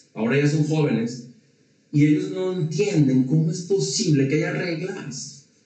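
Audible room echo surrounds a man with a fairly high pitch and ordinary pitch variation. He speaks at a fairly slow pace. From Mexico. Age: 40s. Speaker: entrepreneur and leadership speaker. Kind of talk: casual interview. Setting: studio.

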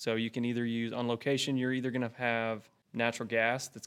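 Speaking with a Texan accent, a man uses a medium pitch and a monotone, flat intonation at a moderate pace, on a very clean recording with a silent background. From North Central Texas. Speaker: oil and gas equipment account manager. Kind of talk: technical interview.

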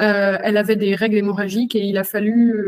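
Recorded with a dry, close sound and no echo, a woman speaks at a medium pitch in a monotone, flat intonation. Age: 20s. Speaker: lab technician and adult content creator. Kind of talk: interview testimony. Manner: hesitant, frequent fillers.

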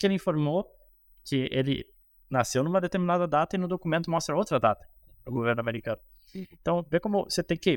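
A man with a high voice talks at a very fast pace with lively intonation and long, frequent pauses, recorded dry and close with no echo on a very clean track with a silent background. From Rio Grande do Sul, Brazil (Cruz Alta). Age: 30s. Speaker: economist and investment strategist. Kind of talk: casual interview on investing.

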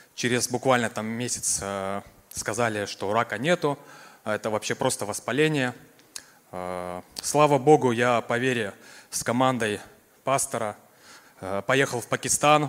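A man's medium-pitched voice at a fairly slow pace, with ordinary pitch variation and long, frequent pauses. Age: 30s. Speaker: cancer survivor giving testimony. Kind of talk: testimony. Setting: church service.

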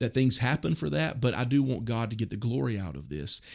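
A man with a Southern US accent, on a very clean recording with a silent background. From US South, Mississippi. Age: 40s. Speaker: pastor. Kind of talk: podcast interview. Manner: casual, hesitant with fillers.

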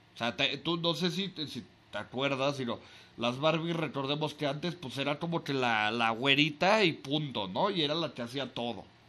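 Speaking at a moderate pace, a man has a fairly high, bright, sharp voice. His pitch varies in an ordinary way. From Mexico City. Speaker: podcast host. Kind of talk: casual chat. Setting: call. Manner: halting, many fillers.

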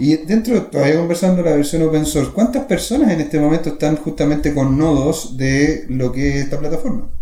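Fairly high male voice, fairly quick with hardly any pauses, very even loudness, ordinary pitch variation, audible room echo and noticeable background noise. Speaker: podcast host. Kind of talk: casual interview.

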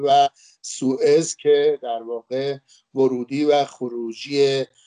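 A man speaks at a medium pitch with a dark, mellow tone. His intonation is monotone and flat, and the sound is dry and close with no echo. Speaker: former diplomat and Egypt expert. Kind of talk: panel talk. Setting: online webinar.

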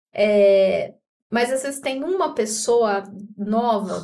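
Very slowly, a woman talks at a fairly high pitch. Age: 30s. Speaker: teacher and operations coordinator. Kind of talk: casual chat.

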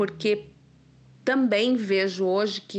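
The background is quiet. A woman talks at a medium pitch. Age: 50s. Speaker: content creator and communication therapist. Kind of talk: testimony. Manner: halting, many fillers.

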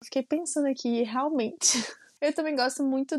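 The speaker has a Minas Gerais accent. The sound is dry and close, without echo. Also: woman, very clean recording, silent background. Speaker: podcast co-host. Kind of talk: casual chat.

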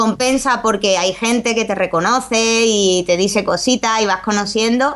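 A woman speaks at a moderate pace with hardly any pauses, her pitch fairly high. Her intonation stays fairly even and her loudness very even. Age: 30s. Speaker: youtuber. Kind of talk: interview.

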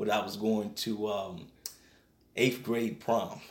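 Audible room echo surrounds a man with an American accent. He speaks at a very slow pace. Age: 20s. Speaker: evangelist and nonprofit ministry founder. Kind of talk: radio interview testimony. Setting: radio studio.

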